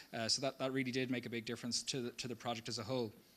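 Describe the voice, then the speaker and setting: A man with a Dublin accent. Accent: Dublin Irish. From Ireland, Dublin. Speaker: community project presenter. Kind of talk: public presentation.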